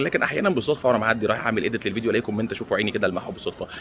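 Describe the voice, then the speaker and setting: A quiet man with an Egyptian accent, medium pitch and lively intonation, talking at a very fast pace over noticeable background noise. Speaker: stock market commentator. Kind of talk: casual vlog commentary. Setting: airport. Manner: speaking quietly; halting, repeats words.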